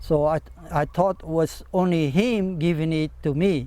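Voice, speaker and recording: A man's high-pitched, dark, mellow voice in a monotone, flat delivery. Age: 70s. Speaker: traditional craftsman. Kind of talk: tutorial. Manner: halting.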